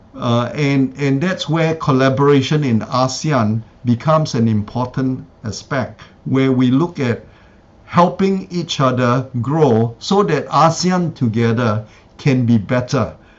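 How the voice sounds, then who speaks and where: A plain, everyday voice from a man at medium pitch, with ordinary pitch variation and a fairly slow pace. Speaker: conference speaker. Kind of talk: academic presentation and Q&A. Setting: symposium with live interpreter.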